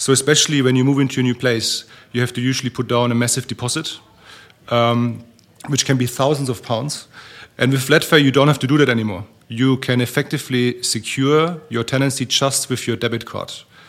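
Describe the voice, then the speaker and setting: Monotone, flat delivery at a fairly quick pace, with a German accent. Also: man, medium pitch for a man. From Germany. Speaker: startup founder. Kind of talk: panel discussion.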